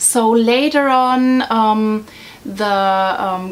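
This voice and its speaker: A woman with a German accent speaks with fairly even intonation. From Germany. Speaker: vlogger. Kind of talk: casual explainer vlog. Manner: hesitant, many fillers.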